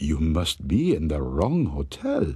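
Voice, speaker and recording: Growling in a put-on character voice, a man speaks at a fairly slow pace with a very deep, low pitch. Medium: machinima. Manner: calm, detached, repetitive.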